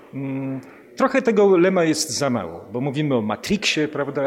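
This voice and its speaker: A man at a moderate pace, his pitch swinging very widely, with noticeable background noise behind him. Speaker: radio interviewer. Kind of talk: interview conversation. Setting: in a palace during an event.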